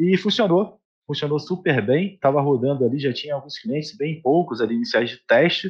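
Lively intonation runs through this man's plain, everyday voice. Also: fairly high pitch for a man. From Rio de Janeiro state, Brazil. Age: 20s. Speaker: accounting firm CEO. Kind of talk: casual interview.

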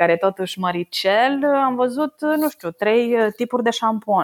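The sound is dry and close with no echo as a woman speaks at a very slow pace on a very clean recording with a silent background. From Romania, Săcele near Brașov. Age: 30s. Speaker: oil market analyst. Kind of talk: casual interview.

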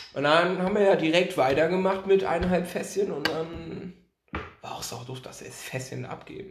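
A man at a moderate pace, high in pitch, with ordinary pitch variation and big swings in loudness. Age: 20s. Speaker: podcast guest, basketball fan. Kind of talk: casual chat.

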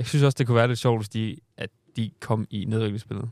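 Medium-pitched male voice with fairly even intonation, dry and close with no echo, on a very clean recording with a silent background. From Southern Jutland, Denmark. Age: 20s. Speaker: podcast host. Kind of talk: casual chat.

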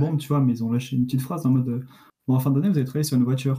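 A man talks at a medium pitch with fairly even intonation. His tone is dark and mellow, and somewhat breathy. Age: 20s. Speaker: engineering student. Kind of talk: casual chat.

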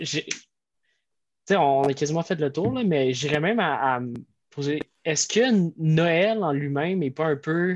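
A man with a Quebec accent, fairly high pitch and lively intonation, at a very slow pace with long, frequent pauses over a quiet background. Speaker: podcast co-host. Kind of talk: casual chat.

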